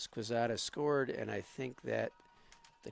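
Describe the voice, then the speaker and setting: A man is speaking. He has a slight Boston accent. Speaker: student sports commentator. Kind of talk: live commentary.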